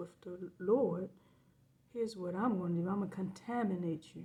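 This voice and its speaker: A woman's medium-pitched voice is somewhat breathy, with a dark, mellow tone. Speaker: video blogger. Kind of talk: casual monologue to camera.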